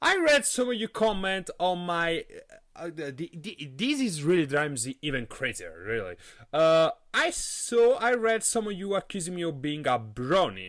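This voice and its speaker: A man talks at a moderate pace in a high pitch with an animated tone. His pitch swings very widely. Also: very clean recording, silent background. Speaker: podcast host. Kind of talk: casual podcast monologue. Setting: live stream. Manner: halting, many fillers and repetitions.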